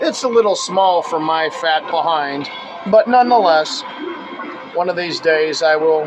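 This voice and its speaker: Over music in the background, a man speaks loudly and fairly slowly at a high pitch for a man. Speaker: BMX collector and video host. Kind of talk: casual show-and-tell video. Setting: home retro arcade room. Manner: enthusiastic.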